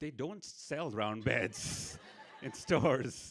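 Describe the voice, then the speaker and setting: This man speaks with an Indian accent. His intonation is lively. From India, Mumbai. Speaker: storyteller. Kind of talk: stand-up storytelling. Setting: stage with audience.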